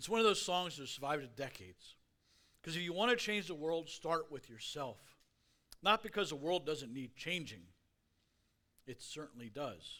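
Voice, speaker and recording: A man's fairly high voice with lively intonation, a bright, sharp tone, a moderate pace and long, frequent pauses. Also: big swings in loudness. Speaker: guest speaker. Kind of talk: sermon. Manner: slurring words.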